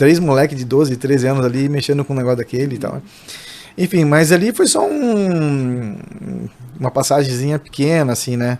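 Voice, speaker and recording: There is noticeable background noise. Through it, a man talks with ordinary pitch variation. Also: fairly high pitch for a man, moderate pace. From interior of São Paulo state, Brazil. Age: 40s. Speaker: barbershop owner. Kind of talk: podcast interview. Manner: halting, many false starts.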